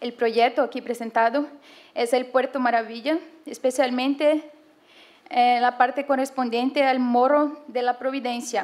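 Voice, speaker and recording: A woman speaks in a high-pitched voice at a fairly slow pace. Her intonation is monotone and flat. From Brazil. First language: Portuguese (speaking Spanish). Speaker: conference presenter, urbanism graduate student. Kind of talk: academic presentation, read aloud. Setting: conference panel with audience. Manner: reading, halting.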